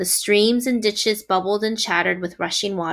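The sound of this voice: The speaker uses an unforced reading voice. Pitch varies in an ordinary way.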